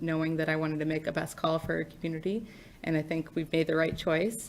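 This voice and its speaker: Fairly quick speech from a woman, pitched fairly low. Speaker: mayor. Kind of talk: public meeting remarks. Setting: city commission meeting chamber.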